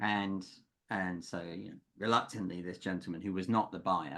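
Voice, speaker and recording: Very deep, low male voice with a bright, sharp tone, fairly even intonation and a fairly quick pace, on a very clean recording with a silent background. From UK. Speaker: executive coach. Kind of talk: podcast interview.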